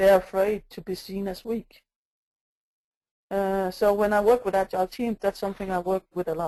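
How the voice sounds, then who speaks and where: In a dry, close sound with no echo, a woman with a medium pitch and a dark, mellow tone talks at a moderate pace in a flat monotone, leaving long, frequent pauses. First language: not English. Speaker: agile coach. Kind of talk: conference talk. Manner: hesitant, many fillers.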